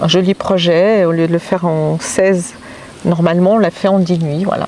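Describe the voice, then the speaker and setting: Noticeable background noise sits behind a voice with monotone, flat intonation, very even loudness and a moderate pace. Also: woman, fairly low pitch for a woman. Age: 60s. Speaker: hiker interviewed about a trek. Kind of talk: casual interview.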